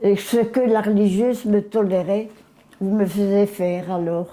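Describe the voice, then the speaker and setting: Dark and mellow, a woman's voice sits at a medium pitch with ordinary pitch variation. She speaks at a very slow pace. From Belgium, Mons. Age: 80s+. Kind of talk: interview answer.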